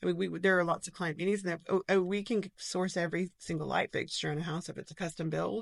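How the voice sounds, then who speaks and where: A woman's fairly low, vocal-fried voice at a very fast pace, fairly even in intonation with hardly any pauses, in a dry, close sound with no echo. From Knoxville, Tennessee.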